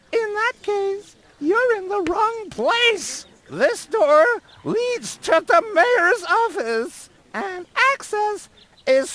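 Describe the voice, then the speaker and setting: Someone uses a put-on character voice at an extremely high pitch, speaking very slowly. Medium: video game. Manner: dry, curt.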